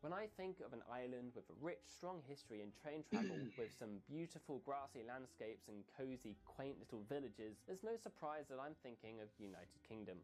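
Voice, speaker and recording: A man with an English accent talks at medium pitch and a fairly quick pace. He hardly pauses, and his pitch swings very widely. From England, countryside. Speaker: game developer describing game idea. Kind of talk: scripted narration.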